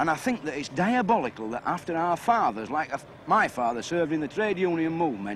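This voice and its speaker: With a Yorkshire accent, a man speaks with very wide pitch swings. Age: 30s. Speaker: dye house worker. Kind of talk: interview.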